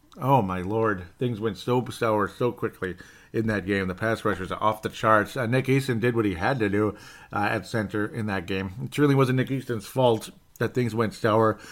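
A man with an American accent uses an ordinary speaking voice at a moderate pace with ordinary pitch variation, on a very clean recording with a silent background. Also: fairly low pitch for a man. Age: 30s. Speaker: sports podcast host. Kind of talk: casual solo sports commentary.

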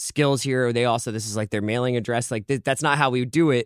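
A man with an American accent speaks at a moderate pace in a normal speaking voice, with medium pitch and ordinary pitch variation. The very clean recording has a silent background and a dry, close sound with no echo. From Philadelphia, US. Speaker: podcast network editor, guest. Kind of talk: casual chat.

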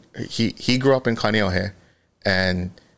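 A man speaks in a Hawaiian accent with a fairly low pitch. His pace is fairly slow. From Hawaii, Oahu windward side. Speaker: fashion designer and brand co-founder. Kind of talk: casual interview.

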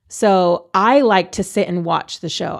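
This woman has an unremarkable speaking voice at a medium pitch with ordinary pitch variation. The recording is very clean, with a silent background. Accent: American. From Texas, San Antonio. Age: 30s. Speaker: stand-up comedian. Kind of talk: casual chat.

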